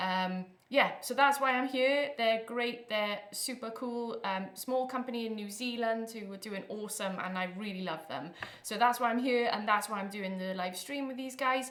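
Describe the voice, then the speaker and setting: In a Welsh accent, a woman speaks at a moderate pace with ordinary pitch variation and audible room echo. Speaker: electronic music producer and performer. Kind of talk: live stream workshop. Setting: live stream. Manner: animated.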